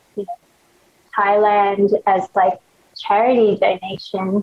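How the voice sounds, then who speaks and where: Speaking at a very slow pace, a woman with an Australian accent has a fairly high pitch. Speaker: fashion blogger and clothing brand founder. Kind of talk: casual interview chat. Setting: video call. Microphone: crusty audio over video call.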